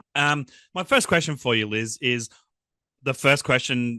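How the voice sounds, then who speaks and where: Dry and close with no echo over a quiet background, a man's voice comes through with a bright, sharp tone. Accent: Australian. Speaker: podcast host. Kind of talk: interview. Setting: video call.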